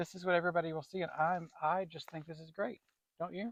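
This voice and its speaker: In an Appalachian accent, the speaker goes at a fairly quick pace, with a dry, close sound and no echo. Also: man. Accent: country Appalachian. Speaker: gardening channel co-host. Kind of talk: casual chat. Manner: animated.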